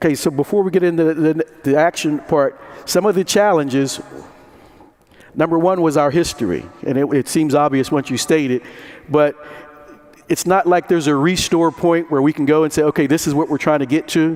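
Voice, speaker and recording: A man speaks at a fairly quick pace with a fairly high pitch. His intonation is fairly even and his loudness very even. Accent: Pittsburgh. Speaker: conference moderator. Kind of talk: conference talk to audience. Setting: conference room with audience.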